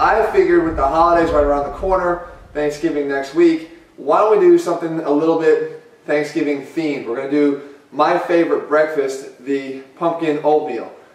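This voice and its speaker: A man at a moderate pace with fairly even intonation, amid audible room echo and noticeable background noise. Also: fairly high pitch for a man. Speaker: fitness coach. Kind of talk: cooking tutorial.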